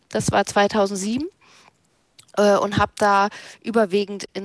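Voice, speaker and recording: Quiet background behind a woman's medium-pitched voice. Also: dry sound with no echo. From North Frisia, northern Germany. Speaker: left-wing activist and party official. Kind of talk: interview. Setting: video call.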